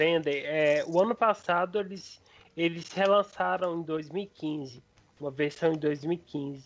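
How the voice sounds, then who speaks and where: Speaking very slowly, a man with a fairly high pitch shows ordinary pitch variation. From Brazil, Minas Gerais interior (Frutal). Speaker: retro gaming enthusiast. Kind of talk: casual chat.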